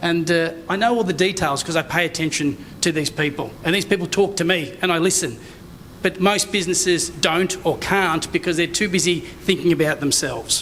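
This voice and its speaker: Noticeable background noise accompanies this recording. A man with a high pitch speaks with fairly even intonation. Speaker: conference speaker, digital strategy consultant. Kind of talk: conference presentation. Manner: fast.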